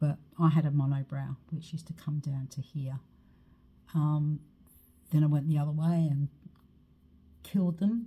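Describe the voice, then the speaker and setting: A woman at a very deep, low pitch, dark and mellow in tone and somewhat breathy, moderate in pace with fairly even intonation and long, frequent pauses. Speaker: makeup and skincare seller. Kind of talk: makeup tutorial. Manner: casual, chatty.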